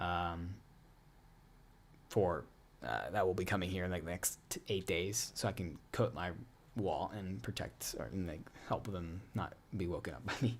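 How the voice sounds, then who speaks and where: A man with an American accent speaks at a moderate pace in a very deep, low voice with vocal fry, ordinary pitch variation, and long, frequent pauses. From US, Pittsburgh. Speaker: student meteorologist, weather streamer. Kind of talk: live stream Q&A. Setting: home room, live stream at 2 AM. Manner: lowered, quieter voice; normally energized.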